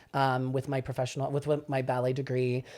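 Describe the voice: Delivered at a fairly quick pace, the voice has a slightly mellow tone and monotone, flat intonation. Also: man, medium pitch for a man.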